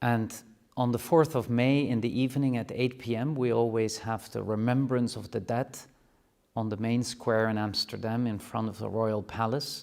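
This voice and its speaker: A man speaks at a moderate pace with a Dutch accent, his medium-pitched voice keeping a fairly even intonation. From Netherlands. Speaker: university rector. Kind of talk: address to students. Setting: classroom live stream. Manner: formal.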